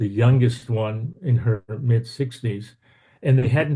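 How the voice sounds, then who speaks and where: With an American accent, this somewhat breathy, dark, mellow voice moves at a fairly slow pace with ordinary pitch variation. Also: man. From Texas. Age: 70s. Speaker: minister giving a talk. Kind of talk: online lecture. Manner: halting, many fillers and repeats.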